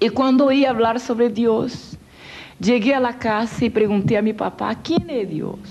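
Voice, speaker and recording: A woman's plain, everyday voice, fairly high in pitch, at a fairly slow pace with ordinary pitch variation. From Brazil, Rio de Janeiro. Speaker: evangelist, former witch. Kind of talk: testimony.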